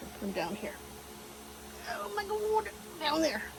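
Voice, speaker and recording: A woman's fairly slow speech with very wide pitch swings, over noticeable background noise. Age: 70s. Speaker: DIY RV owner. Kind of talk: casual DIY repair talk to camera.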